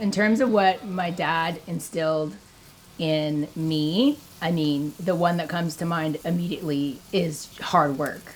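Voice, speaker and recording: Over noticeable background noise, a woman talks at a fairly slow pace with a fairly low pitch and ordinary pitch variation. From Ontario, Canada. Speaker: fishing TV host. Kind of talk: interview reflection. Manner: casual, many fillers like 'like'.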